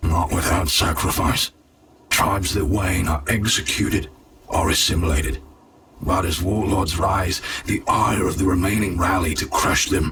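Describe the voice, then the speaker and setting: The man uses a put-on character voice. It is very deep and low. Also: moderate pace. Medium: machinima. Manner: dry, grim.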